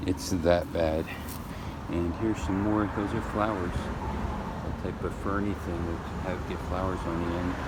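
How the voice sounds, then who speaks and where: A man's very deep, low voice at a fairly slow pace, with fairly even intonation, audible room echo and noticeable background noise. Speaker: homeowner vlogger. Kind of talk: casual garden walkthrough vlog. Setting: outdoors in garden and street. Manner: rambling, hesitant with fillers.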